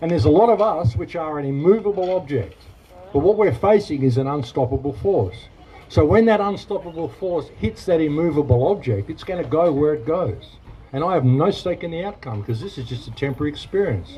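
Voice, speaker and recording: Someone with an Australian accent talks at a fairly quick pace with very wide pitch swings, over noticeable background noise. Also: man, fairly high pitch for a man. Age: 60s. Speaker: protest speaker. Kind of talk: rally speech and Q&A. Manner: animated.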